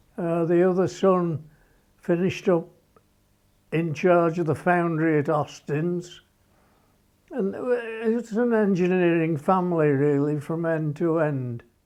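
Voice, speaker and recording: A man with a Birmingham accent speaks in a high pitch. His speech has long, frequent pauses. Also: ordinary pitch variation, fairly slow pace. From England, Birmingham. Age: 80s+. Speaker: former motorcycle racer. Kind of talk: documentary interview. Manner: halting.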